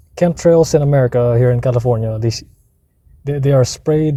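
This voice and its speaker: A man's dark, mellow, somewhat breathy voice sits at a medium pitch and moves with ordinary pitch variation. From Philippines. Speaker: vlogger. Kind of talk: casual rant monologue. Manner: animated, repetitive restarts.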